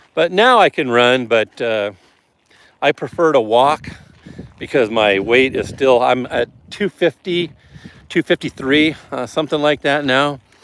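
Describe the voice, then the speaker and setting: Pausing long and often, a man with a Midwestern US accent speaks at a fairly slow pace. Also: fairly high pitch for a man, ordinary pitch variation, dry, close sound with no echo. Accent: US Midwest. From Nebraska, US. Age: 50s. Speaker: streamer. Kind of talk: casual chat. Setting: walking on a treadmill while livestreaming.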